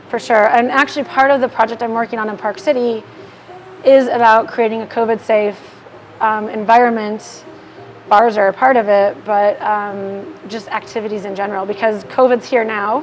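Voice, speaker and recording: A woman with an American accent speaks at a fairly high pitch with ordinary pitch variation, over noticeable background noise. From Milwaukee, Wisconsin. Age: young. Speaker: social media marketing business owner. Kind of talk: casual chat. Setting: bar. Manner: fast.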